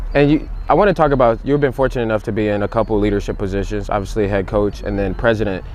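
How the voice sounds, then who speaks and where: Very fast speech from a man with an American accent, fairly low in pitch with ordinary variation, amid noticeable background noise. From Cleveland, Ohio. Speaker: podcast co-host. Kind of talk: podcast interview. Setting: outdoors.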